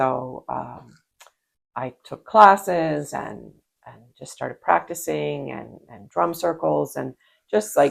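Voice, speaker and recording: A woman speaks with a very deep, low pitch and vocal fry. She goes at a very slow pace, with very wide pitch swings. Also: big swings in loudness. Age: 60s. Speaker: podcast co-host. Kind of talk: casual chat. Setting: video podcast.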